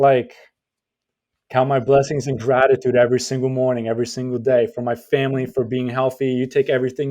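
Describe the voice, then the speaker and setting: Speaking with a Polish accent, a man holds a medium pitch in a monotone, flat intonation. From Poland. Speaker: real estate podcast host. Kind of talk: casual chat.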